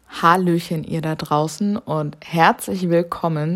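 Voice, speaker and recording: This woman's voice sits at a fairly low pitch. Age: 20s. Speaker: podcast host, fitness trainer. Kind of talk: casual solo introduction. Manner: spontaneous, chatty with slips.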